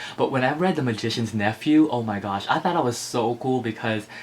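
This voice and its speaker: With an American accent, a man talks at a moderate pace with ordinary pitch variation over noticeable background noise. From Philippines, Ilocos Norte, moved to US at 7 or 8. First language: Ilocano. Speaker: book vlogger. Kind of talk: casual vlog chat. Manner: animated.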